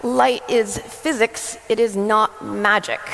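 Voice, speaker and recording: A woman with an American accent talks while noticeable background noise carries on. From US, New Jersey. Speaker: photographer and former teacher. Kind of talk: conference talk. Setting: stage with audience.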